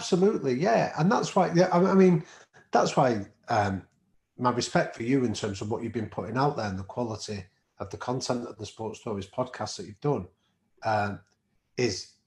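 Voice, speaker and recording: Somewhat breathy speech in a Manchester accent moves at a fairly quick pace with very wide pitch swings, big swings in loudness and long, frequent pauses, on a very clean recording with a silent background. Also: man, medium pitch for a man. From northern England, Manchester. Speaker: professor and podcast co-host. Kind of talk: interview conversation.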